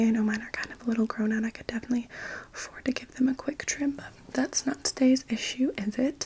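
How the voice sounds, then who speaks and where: Soft-spoken and high-pitched, a woman talks at a very fast pace with fairly even intonation. Noticeable background noise runs underneath. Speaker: hairdresser in roleplay. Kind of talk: ASMR haircut roleplay.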